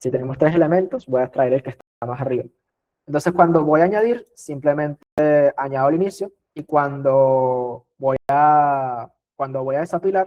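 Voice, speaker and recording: An unremarkable speaking voice keeps a moderate speed, its pitch shifting in an ordinary way. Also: man, fairly high pitch for a man. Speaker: teaching assistant / tutor. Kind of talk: exam review lecture.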